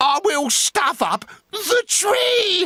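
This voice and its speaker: Using a put-on character voice, a man pitches his speech extremely high. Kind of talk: comic storytelling with villain voice. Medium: read story. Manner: sly, gloating.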